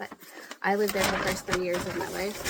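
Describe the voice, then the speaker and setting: A woman with an American accent speaks against noticeable background noise. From Pennsylvania. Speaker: lifestyle vlogger. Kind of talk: casual chat while crafting.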